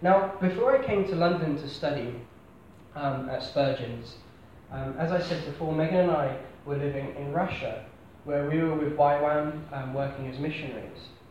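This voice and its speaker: A man with a southern English accent, a fairly high pitch, fairly even intonation and a moderate pace, amid noticeable background noise and audible room echo. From southern England, Hampshire (Basingstoke). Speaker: preacher. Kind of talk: sermon. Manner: hesitant, with frequent fillers and repeats.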